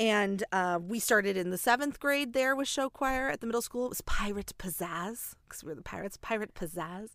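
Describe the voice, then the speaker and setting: Very clean, with a silent background, the recording carries a woman's fairly high, plain, everyday voice as she speaks at a fairly quick pace with hardly any pauses and lively intonation. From US Midwest. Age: 30s. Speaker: podcast host and show choir teacher. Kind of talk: casual interview chat. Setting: recording in her closet.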